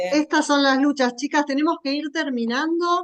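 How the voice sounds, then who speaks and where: This woman has a plain, everyday voice. She keeps a moderate pace with ordinary pitch variation. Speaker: course moderator. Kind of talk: closing remarks.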